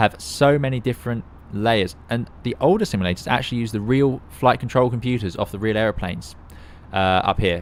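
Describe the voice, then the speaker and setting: A man is speaking here. He goes at a fairly quick pace with ordinary pitch variation. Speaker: airline pilot and flight sim streamer. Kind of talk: live stream commentary. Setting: live stream. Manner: fast.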